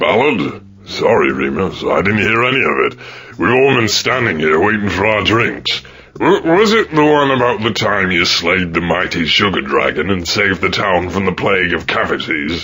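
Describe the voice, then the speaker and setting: A put-on character voice from a man, fairly low in pitch with very wide pitch swings, at a moderate pace over light background noise. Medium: video game. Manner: sarcastic, impatient.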